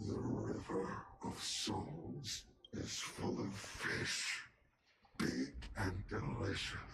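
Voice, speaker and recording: A growling put-on character voice, very slow and broken by long, frequent pauses, with audible echo. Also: man, very deep, low pitch for a man. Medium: virtual streamer. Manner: singsong, cryptic.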